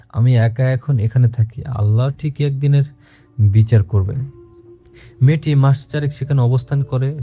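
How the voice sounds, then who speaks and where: Music plays in the background as a man speaks. His pitch is medium, his intonation fairly even. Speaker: radio host reading a listener's letter. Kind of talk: horror story narration.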